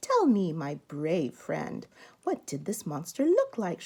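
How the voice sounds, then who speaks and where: A woman puts on a character voice, pitched fairly low and moving at a fairly slow pace. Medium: read story. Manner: calm, polite, confident.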